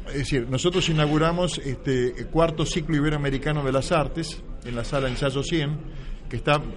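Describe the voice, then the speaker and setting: Audible room echo and noticeable background noise surround speech that moves at a moderate pace. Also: man. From Buenos Aires, Argentina. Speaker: writer and playwright. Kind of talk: radio interview. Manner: halting, repeats words.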